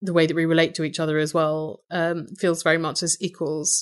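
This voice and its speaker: A woman speaks with an English accent in a fairly low-pitched voice. The background is quiet. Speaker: podcaster. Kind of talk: interview.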